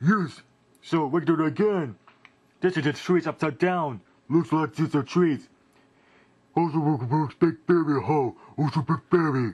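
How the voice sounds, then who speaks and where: In a cartoonish character voice with a fairly high pitch, a man speaks with long, frequent pauses against a quiet background. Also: moderate pace. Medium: puppet.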